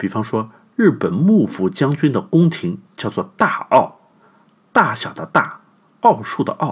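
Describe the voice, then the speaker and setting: A man talks at a fairly slow pace. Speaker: podcast host. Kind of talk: scripted narration. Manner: animated.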